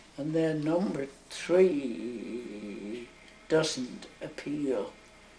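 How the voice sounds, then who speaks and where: Noticeable background noise sits behind a woman with a very deep, low pitch. She speaks very slowly with lively intonation. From Northern Ireland. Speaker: nun. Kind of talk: interview answer.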